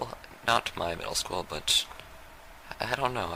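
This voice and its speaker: Noticeable background noise sits behind a soft-spoken man. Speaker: YouTube vlogger. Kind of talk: off-the-cuff monologue. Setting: lying on the floor at home. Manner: soft-spoken, very quiet.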